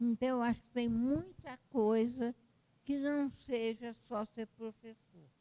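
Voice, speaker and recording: A woman with a dark, mellow tone and a fairly high pitch speaks very slowly, the sound dry and close with no echo. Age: 80s+. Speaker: retired history professor and author. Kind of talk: interview at book launch. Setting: university library event. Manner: halting.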